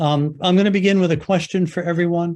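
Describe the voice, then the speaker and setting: With an American accent, this man has a dark, mellow tone and ordinary pitch variation. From US Northeast, Jersey City, New Jersey. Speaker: professor of medicine, endocrinologist. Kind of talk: lecture. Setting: video call. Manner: loud; forceful.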